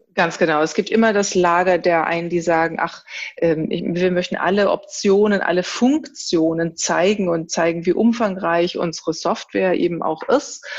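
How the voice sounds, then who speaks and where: With a fairly low pitch and ordinary pitch variation, a woman speaks at a moderate pace. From Germany. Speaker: designer. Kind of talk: interview. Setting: remote call. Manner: halting.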